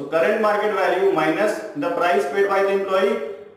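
Strong room echo surrounds a man speaking at a moderate pace, with high pitch and ordinary pitch variation, against a quiet background. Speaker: tax tutor. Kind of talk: tutorial. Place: classroom. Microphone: camera far.

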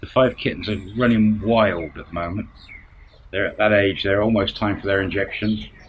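Over light background noise, a man with a fairly low pitch talks at a moderate pace in a monotone, flat way. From UK. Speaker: vlogger, expat retiree. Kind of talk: casual vlog monologue. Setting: outdoors at home, filming to camera. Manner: halting. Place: home room. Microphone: phone near.

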